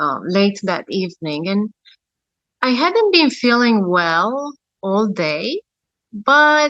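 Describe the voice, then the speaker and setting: Her pitch is fairly high and her tone bright and sharp. This woman speaks with lively intonation. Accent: Romanian. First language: Romanian. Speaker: near-death experiencer. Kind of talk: testimony. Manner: hesitant, many fillers.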